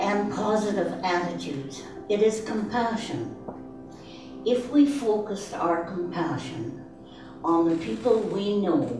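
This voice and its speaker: A woman speaks at a fairly slow pace with lively intonation. Her pitch is medium, and music plays in the background. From Canada. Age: 80s+. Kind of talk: inspirational speech. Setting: live event.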